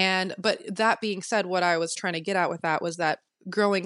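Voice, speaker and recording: Against a quiet background, a woman speaks in a plain, everyday voice at a medium pitch and moderate pace, with ordinary pitch variation and a dry, close sound with no echo. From military family, moved often; teen years in Texas. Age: 20s. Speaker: photographer and social media manager. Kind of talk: casual interview chat. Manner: chatty, many fillers.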